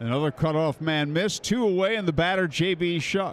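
A high-pitched man at a moderate pace, with ordinary pitch variation and faint music in the background. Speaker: baseball broadcaster. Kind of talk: live sports commentary, play-by-play. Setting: stadium broadcast booth. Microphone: headset.

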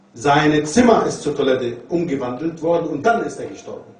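A man talks with audible room echo around his voice. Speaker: religious lecturer. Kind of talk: lecture. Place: classroom.

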